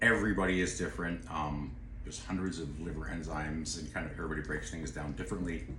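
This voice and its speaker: A man's very deep, low voice, very fast and lively in intonation, over noticeable background noise with audible room echo. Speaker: nutraceutical expert. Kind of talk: casual chat.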